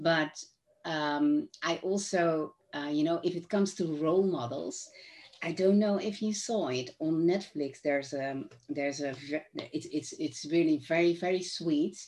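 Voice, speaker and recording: A woman with a Dutch accent at a fairly slow pace, with ordinary pitch variation. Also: fairly low pitch for a woman. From Netherlands. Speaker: author and neuroscience trainer. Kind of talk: casual chat.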